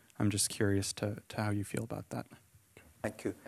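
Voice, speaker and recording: In a quiet background, a man talks with a fairly low pitch. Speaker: event moderator. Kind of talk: panel moderation. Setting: stage with audience. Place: hall. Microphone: handheld.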